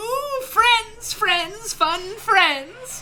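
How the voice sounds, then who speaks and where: This is a put-on character voice at an extremely high pitch. Clear background noise can be heard behind it. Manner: playful.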